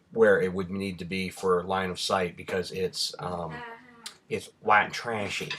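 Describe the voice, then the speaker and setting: Noticeable background noise sits under a voice with monotone, flat intonation. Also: man, very deep, low pitch for a man. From Rhode Island. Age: 30s. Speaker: vlogger. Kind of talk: casual vlog answering questions.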